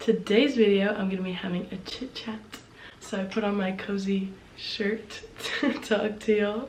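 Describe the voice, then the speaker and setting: A woman at medium pitch and moderate pace, fairly even in intonation, with long, frequent pauses, noticeable background noise and audible room echo. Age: young. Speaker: video blogger. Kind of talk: casual chat. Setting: home, seated in spinning chair.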